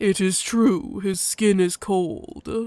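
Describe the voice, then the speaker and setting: Someone uses a put-on character voice at a middle pitch. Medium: read story. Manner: terse, formal, no contractions.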